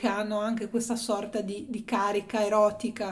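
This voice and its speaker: A woman's fairly high-pitched voice in a monotone, flat intonation. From Italy, Genoa. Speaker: art history youtuber. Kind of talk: video essay / exhibition review. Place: home room. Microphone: phone near.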